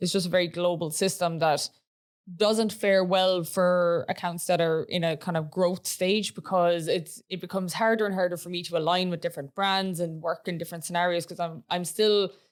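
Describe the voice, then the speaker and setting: In an Irish accent, a woman speaks at a fairly low pitch and a moderate pace. Her intonation is monotone and flat, and the recording is very clean with a silent background. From Ireland. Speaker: podcast co-host, AI content creator. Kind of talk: casual chat.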